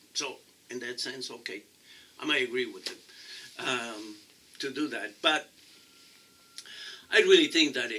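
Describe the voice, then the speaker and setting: A man speaks in a Mexican accent at a moderate pace. His loudness swings widely, with long, frequent pauses. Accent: Mexican Spanish accent, noticeable. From Mexico. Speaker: city council candidate. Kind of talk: interview. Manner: halting, many repetitions.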